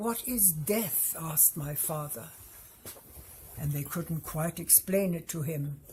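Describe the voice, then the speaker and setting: With noticeable background noise behind her, a woman speaks at a very slow pace and fairly low pitch, with ordinary pitch variation and long, frequent pauses. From Germany, Hamburg. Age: 80s+. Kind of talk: testimony.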